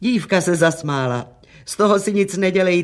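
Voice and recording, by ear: Someone reads aloud, using a natural voice.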